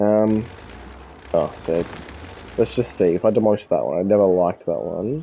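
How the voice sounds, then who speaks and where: A man with an American accent talks at a moderate pace in a fairly low voice with a dark, mellow tone, ordinary pitch variation, and long, frequent pauses. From Australia, Melbourne. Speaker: video game streamer. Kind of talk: gameplay commentary. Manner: hesitant, many fillers.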